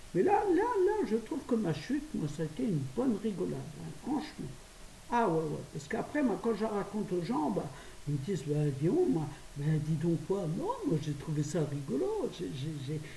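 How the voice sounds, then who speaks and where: Over noticeable background noise and audible room echo, a woman speaks at a moderate pace. Her pitch is fairly low and swings very widely. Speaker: vlogger. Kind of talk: casual monologue vlog.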